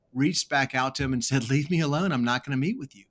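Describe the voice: Fast and fairly bright in tone, a man speaks with an American accent. His pitch variation is ordinary.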